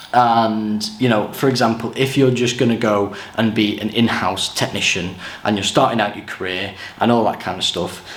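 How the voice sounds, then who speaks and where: Audible room echo and noticeable background noise surround a man with an English accent whose pitch varies in an ordinary way. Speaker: touring lighting technician. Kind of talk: tutorial. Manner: casual.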